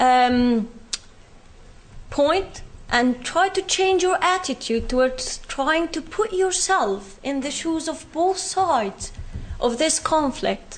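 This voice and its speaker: Speaking very slowly in a British accent, the voice makes very wide pitch swings. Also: woman, extremely high pitch for a woman. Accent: Palestinian British. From Palestine, West Bank. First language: Arabic. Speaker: speaker sharing personal experience. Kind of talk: public talk.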